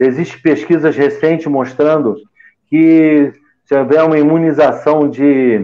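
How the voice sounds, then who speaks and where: A man with a plain, everyday voice, fairly high in pitch, at a fairly slow pace with very even loudness and fairly even intonation. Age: 60s. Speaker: physician. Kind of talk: panel discussion.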